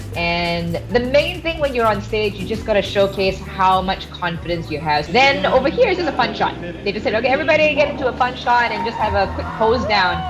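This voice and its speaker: Music plays behind a woman who talks at a fairly quick pace with hardly any pauses, her pitch swinging very widely. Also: fairly high pitch for a woman. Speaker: radio DJ and fitness coach. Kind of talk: interview answer. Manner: energetic, extroverted.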